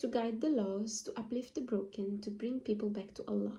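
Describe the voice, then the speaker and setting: A woman speaks with a non-native accent at a fairly high pitch. Her fairly even intonation carries a somewhat breathy, dark, mellow tone. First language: not English. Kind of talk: casual talk to camera. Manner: halting, many fillers.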